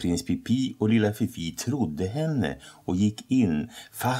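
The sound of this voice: Lively intonation runs through the clip. The reading voice is unforced.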